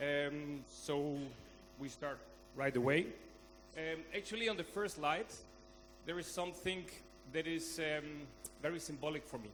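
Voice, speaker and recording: A man speaks with a Spanish accent at a fairly high pitch and a moderate pace. His pitch varies in an ordinary way, and the room echo is audible. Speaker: conference speaker. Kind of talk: conference talk. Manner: halting.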